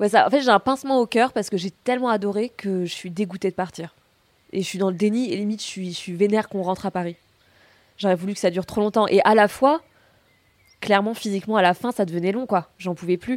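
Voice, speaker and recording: A woman talks at a very fast pace but with long, frequent pauses. The sound is dry and close, with no echo. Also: medium pitch for a woman, ordinary pitch variation. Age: 20s. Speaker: grape picker. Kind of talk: casual chat. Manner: animated.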